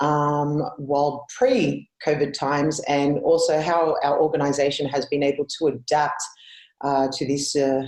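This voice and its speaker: With an Australian accent, a woman speaks at a fairly slow pace in a very deep, low voice with monotone, flat intonation. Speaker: conference speaker. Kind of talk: conference presentation. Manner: hesitant, many fillers.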